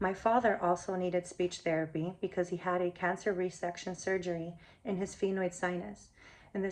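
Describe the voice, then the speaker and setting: In a Spanish accent, a woman talks with a monotone, flat intonation. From Miami, Florida. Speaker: applicant, behavioral technician. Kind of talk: application video statement. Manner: formal.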